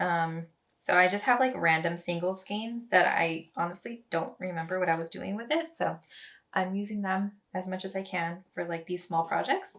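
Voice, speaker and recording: A woman with an unremarkable speaking voice talks at a moderate pace, her pitch medium and its variation ordinary. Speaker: knitting podcaster. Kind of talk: casual chat. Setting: home kitchen.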